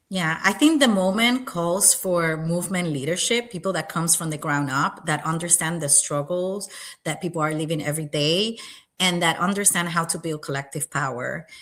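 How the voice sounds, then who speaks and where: A woman's fairly low voice, with ordinary pitch variation, moves at a moderate pace. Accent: Spanish. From Puerto Rico. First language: Spanish. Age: 30s. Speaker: political candidate. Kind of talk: interview. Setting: livestream.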